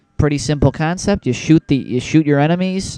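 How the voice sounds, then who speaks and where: The pace is very fast. Intonation stays fairly even throughout. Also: man. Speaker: video game reviewer. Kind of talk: casual gameplay commentary. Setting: at home at night. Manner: hushed, keeping voice down; halting, many fillers.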